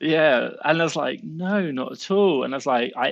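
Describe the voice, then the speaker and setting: The background is quiet as a man speaks with a southern English accent. His pitch is fairly high. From southern England, Southampton. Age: 30s. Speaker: Amazon seller and entrepreneur. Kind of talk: podcast interview. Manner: animated.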